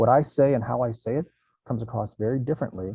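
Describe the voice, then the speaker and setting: Fairly even intonation marks a man's unremarkable speaking voice at a medium pitch. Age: 50s. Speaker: recruiting company CEO. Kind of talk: workshop discussion.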